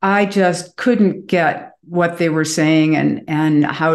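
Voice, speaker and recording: A woman with an American accent speaks at a very slow pace in a very deep, low pitch. Her intonation is fairly even, and the background is quiet. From US Midwest, Chicago. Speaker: author and Reiki master. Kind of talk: interview. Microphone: video call.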